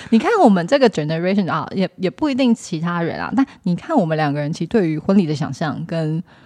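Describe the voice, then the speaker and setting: A woman with a fairly low pitch speaks at a very fast pace with hardly any pauses. Noticeable background noise runs underneath. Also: lively intonation, dry, close sound with no echo. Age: 30s. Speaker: podcast co-host. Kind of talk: casual chat.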